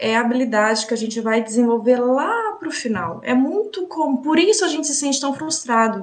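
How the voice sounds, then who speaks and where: A woman with a high pitch talks at a moderate pace, using ordinary pitch variation. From Brazil. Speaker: English teacher. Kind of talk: casual chat. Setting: studio.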